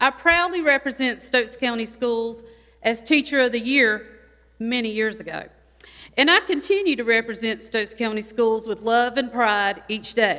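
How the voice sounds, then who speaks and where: Loud and with a North Carolina accent, a woman speaks at a fairly high pitch with a bright, sharp tone and ordinary pitch variation. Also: moderate pace. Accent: Southern US (North Carolina). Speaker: retired teacher. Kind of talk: public comment speech. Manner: animated.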